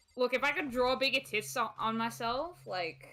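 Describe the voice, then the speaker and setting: This is a woman talking. Music plays in the background. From Britain. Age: 20s. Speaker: gaming streamer guest. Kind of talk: casual chat. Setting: live stream. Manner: animated.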